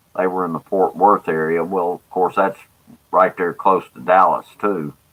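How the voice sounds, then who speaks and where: Here a man speaks with a Mississippi accent at a very deep, low pitch. His pace is moderate and his intonation fairly even. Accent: Southern US (Mississippi). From US South, Jackson, Mississippi. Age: 60s. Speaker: livestreamer, former planetarium presenter. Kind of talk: casual chat. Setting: live stream. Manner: halting, many filler words.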